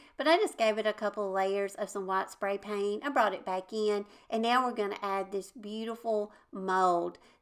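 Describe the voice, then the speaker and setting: Speaking with a Southern US accent, a woman uses a medium pitch, a moderate pace and ordinary pitch variation. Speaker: DIY crafts YouTuber. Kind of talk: tutorial. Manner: casual, chatty.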